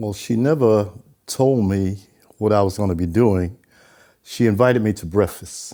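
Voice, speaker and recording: A man's fairly low, dark and mellow voice at a moderate pace, broken by long, frequent pauses. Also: ordinary pitch variation. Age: 80s+. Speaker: retired transit superintendent, former math teacher. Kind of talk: interview answer.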